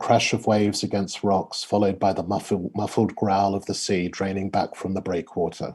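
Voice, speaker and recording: With an Australian accent, a man speaks at a moderate pace. His pitch is fairly low. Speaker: poet. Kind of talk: reading aloud; casual chat. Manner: halting.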